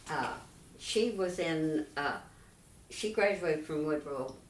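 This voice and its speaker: Amid noticeable background noise, a woman with a Texan accent speaks at a very slow pace with ordinary pitch variation. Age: 80s+. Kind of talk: interview answer.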